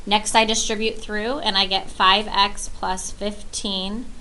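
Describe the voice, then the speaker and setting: Fairly even intonation marks this woman's speech, which carries audible room echo. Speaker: math teacher. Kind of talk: lecture.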